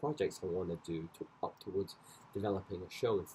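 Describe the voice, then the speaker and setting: A Scottish accent colors the speech. It moves along at a fairly quick pace. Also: man. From Scotland. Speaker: dancer and choreographer vlogger. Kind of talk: casual vlog monologue. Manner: rambling, many fillers.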